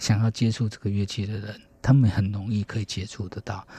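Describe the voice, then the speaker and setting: His tone is dark and mellow, his pitch fairly low. The man sounds somewhat breathy and keeps a moderate pace. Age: 40s. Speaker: harpist. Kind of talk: radio interview.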